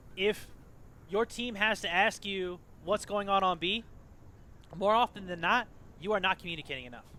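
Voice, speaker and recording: A man talks loudly at a moderate pace, his high pitch showing ordinary variation. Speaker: gaming team captain and tutorial host. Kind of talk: tutorial. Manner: casual, filler-heavy.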